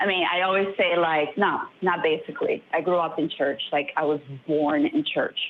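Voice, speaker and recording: A woman's voice at a moderate pace, with very even loudness, ordinary pitch variation and noticeable background noise. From Brazil. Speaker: caller. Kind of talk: personal testimony on call-in show. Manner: halting, hesitant.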